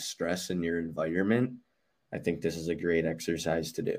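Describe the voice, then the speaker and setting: This man talks at a moderate pace with a very deep, low voice. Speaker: podcast host. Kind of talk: casual interview.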